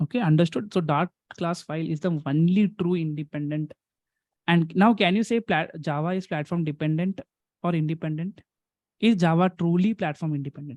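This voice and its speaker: A man talks at a fairly quick pace with a high pitch. The sound is dry and close, with no echo. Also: ordinary pitch variation. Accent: Indian. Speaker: programming teacher. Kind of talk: online lecture. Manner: fast.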